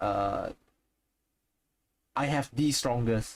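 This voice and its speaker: With a strong Singaporean accent, a man speaks with ordinary pitch variation. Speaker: video game streamer. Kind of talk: casual live stream chat. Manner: hesitant, many repetitions and fillers.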